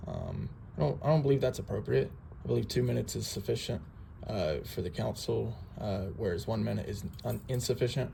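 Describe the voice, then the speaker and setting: A man speaks at a fairly quick clip with a fairly low pitch and an American accent. His pitch swings very widely, and there is noticeable background noise. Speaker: citizen auditor. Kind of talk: casual public records request at office counter.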